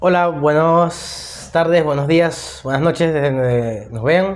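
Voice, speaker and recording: With a Venezuelan accent, a man speaks with ordinary pitch variation. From Venezuela, Maracay. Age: 20s. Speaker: podcast host, political science student. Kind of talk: casual discussion podcast.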